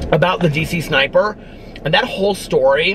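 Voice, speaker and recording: Noticeable background noise runs behind a man's voice. The sound is dry, with no echo. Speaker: book vlogger. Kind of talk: casual vlog chat. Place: car.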